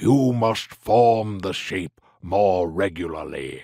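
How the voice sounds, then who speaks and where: Very slow male speech in a put-on character voice with a fairly low pitch. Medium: read story. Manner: formal, measured.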